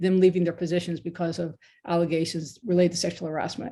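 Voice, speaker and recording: Against a quiet background, a woman talks at a very fast pace in a dark, mellow tone, with a fairly low pitch and monotone, flat intonation. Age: 60s. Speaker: law professor and author. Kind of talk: interview. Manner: conversational, with frequent false starts.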